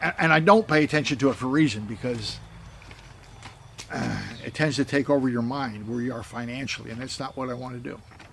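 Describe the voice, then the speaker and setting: A man with an American accent speaks at a very fast pace and medium pitch, with ordinary pitch variation, long, frequent pauses, big swings in loudness and noticeable background noise. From United States. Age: 70s. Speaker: missionary. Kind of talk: casual appeal video monologue. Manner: halting, repetitive.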